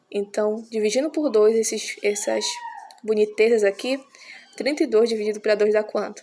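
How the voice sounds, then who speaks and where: In a normal speaking voice, the delivery keeps a moderate pace and a fairly even intonation. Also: woman, fairly high pitch for a woman. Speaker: math teacher. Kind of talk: tutorial.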